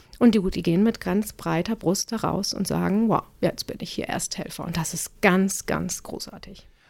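Her medium-pitched voice has vocal fry and fairly even intonation. The woman keeps a moderate pace with hardly any pauses. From northern Germany, Cuxhaven. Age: 40s. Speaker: pediatric nurse and first-aid trainer. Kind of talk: casual interview.

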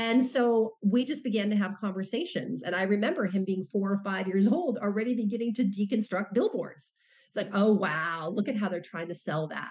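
A woman speaks at a moderate pace and medium pitch, her voice somewhat breathy. Her pitch varies in an ordinary way, and she hardly pauses at all. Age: 50s. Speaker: professor and author. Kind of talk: interview.

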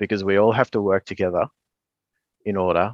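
With an Australian accent, a man talks at a very deep, low pitch in a dry, close sound with no echo. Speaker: environmental scientist and author. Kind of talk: interview. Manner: hesitant with fillers.

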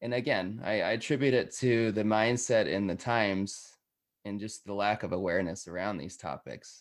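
The recording is very clean, with a silent background. A man with a normal speaking voice talks at a moderate pace in a fairly low pitch, using ordinary pitch variation. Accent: American. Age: 30s. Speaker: podcast host and guest sharing life story. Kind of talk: interview, personal story.

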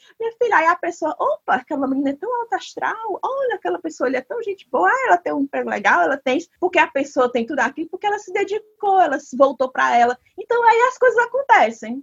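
The pace is very fast, with hardly any pauses. Pitch swings very widely throughout. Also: woman, extremely high pitch for a woman. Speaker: podcast host. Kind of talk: casual chat.

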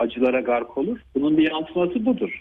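A man speaks with an ordinary speaking voice at a moderate pace. His pitch is fairly high, and his intonation is lively. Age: 50s. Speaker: neurologist. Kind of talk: radio interview. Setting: phone call. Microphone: phone line.

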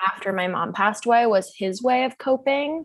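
Against a quiet background, a woman with an American accent uses an ordinary speaking voice at a moderate pace with ordinary pitch variation. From US Pacific Northwest (Seattle). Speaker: sex educator and mental health advocate. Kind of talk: casual interview chat.

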